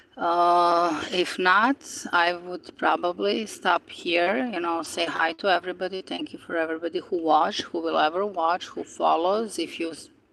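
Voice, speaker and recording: Fairly low-pitched woman at a moderate pace, ordinary pitch variation, noticeable background noise. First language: non-English native language. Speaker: spiritual YouTuber. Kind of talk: casual live-stream monologue. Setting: outdoors by the ocean. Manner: hesitant, many fillers.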